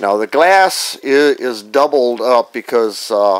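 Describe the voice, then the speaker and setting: A man's voice with ordinary pitch variation, recorded dry with no echo. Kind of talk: casual build log narration. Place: workshop. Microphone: phone near.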